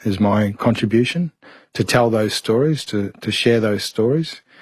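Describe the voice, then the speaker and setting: The voice carries an Australian accent. The background is quiet. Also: man. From Mount Isa, Queensland, Australia. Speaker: barrister. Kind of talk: interview answer.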